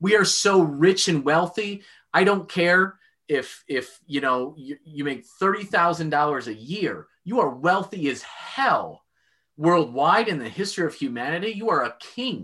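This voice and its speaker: A man speaks at a high pitch with a bright, sharp tone and lively intonation. His pace is fairly slow, and the background is quiet. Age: 30s. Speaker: business owner and father, historical fencer. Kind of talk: casual interview chat.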